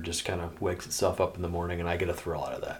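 A man talks in a Midwestern US accent. His pitch is very deep and low, and his voice is somewhat breathy. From Iowa. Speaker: veteran and outdoorsman. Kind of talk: casual chat.

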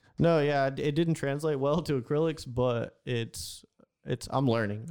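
A man with an American accent speaks in a dark, mellow tone against a quiet background. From Houston, Texas. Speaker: graffiti artist. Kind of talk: casual interview. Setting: studio.

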